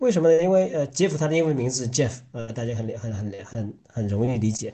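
A man's medium-pitched, somewhat breathy voice with a dark, mellow tone, lively intonation and a moderate pace. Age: 30s. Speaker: podcast co-host. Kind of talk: casual chat.

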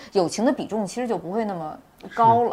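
The voice belongs to a woman. She speaks with a lively rise and fall. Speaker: film director and screenwriter. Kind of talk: panel discussion about own film. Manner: hesitant, repeats words while thinking.

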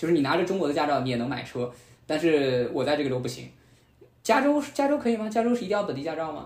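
A man's fairly high, very fast, lively voice with audible room echo. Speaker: podcast host, former media worker, student. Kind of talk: casual chat.

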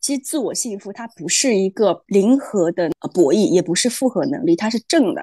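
Dark and mellow in tone, a woman's fairly high voice moves in very wide pitch swings, in a dry, close sound with no echo. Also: moderate pace. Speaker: podcast co-host. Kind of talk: casual chat.

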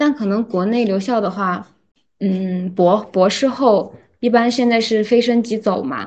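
In a plain, everyday voice, a woman speaks at a fairly slow pace with a fairly high pitch and ordinary pitch variation. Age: 20s. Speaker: PhD student. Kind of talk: casual chat.

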